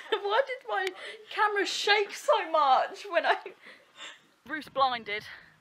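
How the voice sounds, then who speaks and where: In an Essex accent, a woman speaks at an extremely high pitch with a bright, sharp tone and very wide pitch swings. Her pace is very slow, with long, frequent pauses. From Essex, England. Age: young. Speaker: vlogger. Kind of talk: casual vlog talk to camera.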